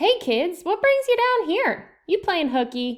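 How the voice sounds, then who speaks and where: Using a squeaky, put-on character voice, a woman speaks at an extremely high pitch and fairly slow pace with very wide pitch swings. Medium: read story. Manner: easygoing, folksy.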